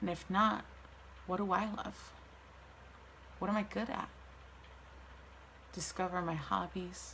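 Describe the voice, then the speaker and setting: Female voice at a moderate pace, with noticeable background noise and audible room echo. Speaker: vlogger sharing mental health story. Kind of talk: personal testimony monologue.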